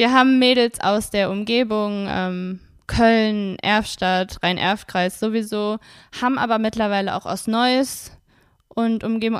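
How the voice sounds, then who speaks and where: A woman's plain, everyday voice, medium in pitch with ordinary pitch variation, in a very clean recording with a silent background. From Wuppertal, Germany. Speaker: cheerleader and club board member. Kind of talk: casual interview.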